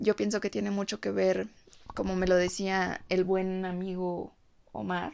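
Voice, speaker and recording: Ordinary pitch variation runs through a woman's medium-pitched speech. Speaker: podcast host. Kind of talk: reflective monologue.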